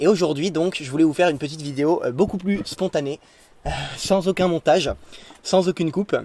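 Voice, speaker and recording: Speaking at a fairly quick pace with long, frequent pauses, a man uses a high-pitched, dark, mellow voice with ordinary pitch variation. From France, Lorraine (Nancy). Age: 20s. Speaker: religious YouTuber. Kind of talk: spontaneous vlog monologue. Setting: in a tent. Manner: hesitant, many fillers.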